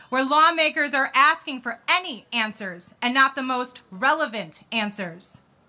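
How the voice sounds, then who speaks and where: Raising and projecting her voice, a woman with an American accent speaks at a moderate pace with very wide pitch swings. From US Midwest, Chicago. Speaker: advocate, bereaved sister. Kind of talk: rally speech. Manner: impassioned.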